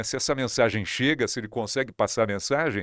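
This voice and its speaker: A man talks at a fairly quick pace in a plain, everyday voice, medium in pitch with ordinary variation. The sound is dry and close with no echo, and the recording is very clean over a silent background. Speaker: radio and TV broadcaster, news presenter. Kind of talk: interview answer.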